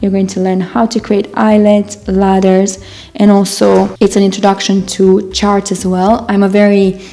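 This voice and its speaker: A woman with a non-native accent speaks at a medium pitch and a moderate pace. Noticeable background noise runs underneath. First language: not English. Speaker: knitting designer and author. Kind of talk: casual talk to camera.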